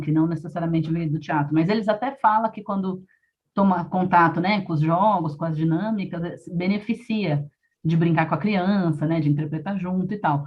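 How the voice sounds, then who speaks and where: Somewhat breathy, a woman talks at a fairly quick pace, her pitch fairly low with ordinary variation. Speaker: storyteller and arts educator. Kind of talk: live interview. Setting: live stream on laptop and phone. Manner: fast.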